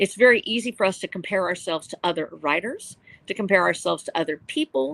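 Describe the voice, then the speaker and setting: A woman speaks at a very fast pace with lively intonation and a medium pitch. The sound is dry and close, with no echo. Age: 60s. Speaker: novelist. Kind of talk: panel discussion. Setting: live stream. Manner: earnest.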